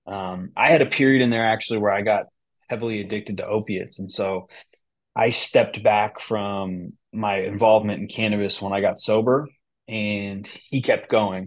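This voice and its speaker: An unremarkable speaking voice from a man, fairly low in pitch, at a moderate pace against a quiet background. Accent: American. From US West Coast, San Francisco Bay Area. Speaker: cannabis business founder and CEO. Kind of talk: interview conversation.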